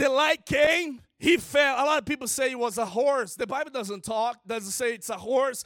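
With a Brazilian Portuguese accent and an animated tone, a man speaks at a moderate pace in an extremely high pitch with ordinary pitch variation. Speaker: guest preacher. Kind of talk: sermon. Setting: church.

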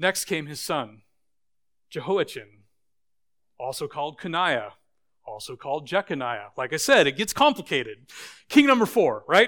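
A man with an American accent speaks at a moderate pace in a high pitch and a bright, sharp tone, with long, frequent pauses. His pitch swings very widely, his loudness shifts greatly, and the recording is very clean with a silent background. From Idaho, US. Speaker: pastor. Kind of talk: sermon. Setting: church.

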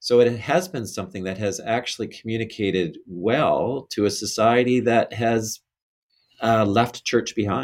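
A man with an unremarkable speaking voice keeps a moderate pace, his pitch varying in an ordinary way. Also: medium pitch for a man. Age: 50s. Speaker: bishop. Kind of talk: interview about faith.

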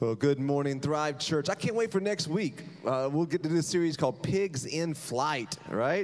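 He has an unremarkable speaking voice, fairly high in pitch with ordinary variation, at a moderate pace. The man barely pauses, and his loudness stays very even. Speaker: pastor. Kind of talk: sermon introduction. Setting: church.

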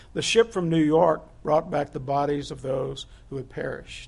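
A man talks at a fairly slow pace in a fairly high voice with vocal fry. His pitch variation is ordinary. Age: 70s. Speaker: pastor. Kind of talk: sermon.

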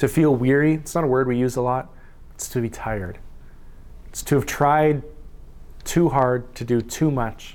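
With a Canadian accent, a man of medium pitch speaks at a moderate pace with ordinary pitch variation and long, frequent pauses, and the room echo is audible. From Saskatchewan, Canada. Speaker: pastor. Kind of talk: sermon.

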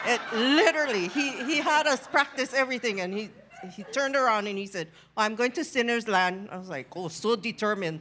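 A woman's fairly high voice at a fairly quick pace, with noticeable background noise. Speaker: congregation member giving testimony. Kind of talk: testimony.

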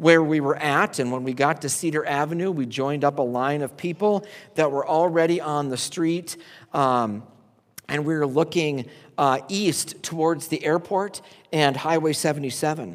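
The recording is very clean with a silent background as a man with a plain, everyday voice speaks at a moderate pace, fairly high in pitch with ordinary pitch variation. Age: 40s. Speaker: pastor. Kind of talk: sermon.

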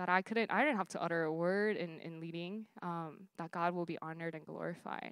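A woman speaks with ordinary pitch variation. The recording is very clean and dry, close, with no echo and a silent background. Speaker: campus minister. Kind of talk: sermon. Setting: stage with audience. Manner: hesitant with many fillers.

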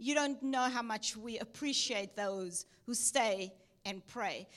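Very slowly, a woman speaks. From South Africa, Cape Town. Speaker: missionary. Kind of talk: sermon. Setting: church.

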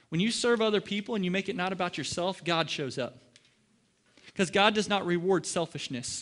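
A man with a Midwestern US accent talks at a very fast pace in a high pitch. His tone is animated, and the background is quiet. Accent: US Midwest. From Ohio. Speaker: pastor. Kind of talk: sermon.

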